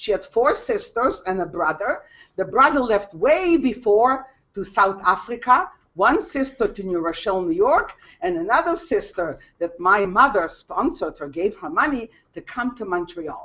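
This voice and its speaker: A woman speaks at a moderate pace in a fairly high pitch, her voice swinging very widely in pitch. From Lithuania. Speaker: Holocaust survivor speaker. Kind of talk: testimony. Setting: video call. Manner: halting.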